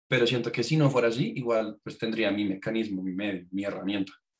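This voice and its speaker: At a moderate pace, a man speaks in a plain, everyday voice with medium pitch and fairly even intonation. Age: 20s. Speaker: music student and musician. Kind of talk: casual chat.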